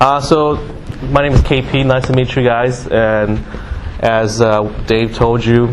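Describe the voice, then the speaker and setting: Recorded with audible room echo and noticeable background noise, a man talks at a fairly slow pace with ordinary pitch variation. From Singapore, moved to Canada as a child. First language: Mandarin. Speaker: guest speaker. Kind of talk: motivational talk. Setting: classroom with audience. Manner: hesitant, many fillers.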